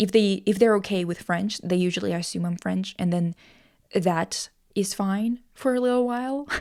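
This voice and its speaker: A woman with a Russian accent speaks at a moderate pace in a dark, mellow tone of medium pitch, with ordinary pitch variation, in a very clean recording with a silent background. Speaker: podcast host. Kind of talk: casual chat. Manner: animated.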